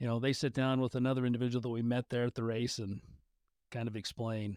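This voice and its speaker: Speaking with an American accent at medium pitch and fairly even intonation, a man is captured in a very clean recording with a silent background and a dry, close sound with no echo. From northern Utah. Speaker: podcast host. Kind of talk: casual interview.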